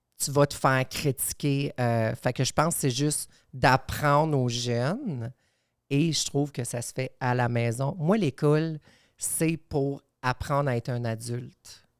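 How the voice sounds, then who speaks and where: A fairly slow English accent with ordinary pitch variation, on a very clean recording with a silent background. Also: woman, very deep, low pitch for a woman. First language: English (speaking French). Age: 30s. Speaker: podcast guest. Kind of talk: podcast conversation.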